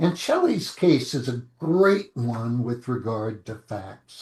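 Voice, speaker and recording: This man's voice is somewhat breathy. He speaks at a very slow pace. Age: 70s. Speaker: lawyer. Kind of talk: interview.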